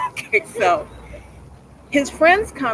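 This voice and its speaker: A woman speaks in an animated tone, her pitch swinging very widely. Noticeable background noise runs behind her. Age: 60s. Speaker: performance poet. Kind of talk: casual chat. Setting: livestream.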